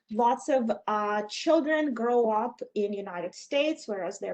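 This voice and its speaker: Her voice high and her intonation lively, a woman speaks with a Russian accent. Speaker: professor. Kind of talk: lecture. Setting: video call.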